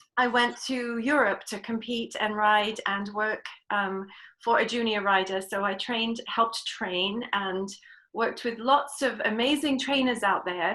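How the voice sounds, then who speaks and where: A woman's fairly high voice in an English accent, bright and sharp in tone, at a fairly slow pace. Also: ordinary pitch variation. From England. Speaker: riding clinician. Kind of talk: interview.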